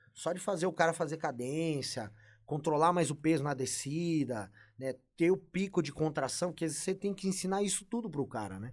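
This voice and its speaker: A man speaks at a moderate pace with lively intonation and a fairly high pitch, on a very clean recording with a silent background. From Brazil. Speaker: bodybuilding coach. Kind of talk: casual podcast interview. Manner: animated.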